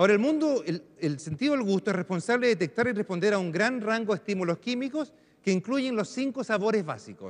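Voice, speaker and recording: Lively in intonation, a man talks very fast in a high pitch. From Chile, Arica. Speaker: neuroscientist, professor. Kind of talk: lecture. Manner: halting, searching for Spanish words.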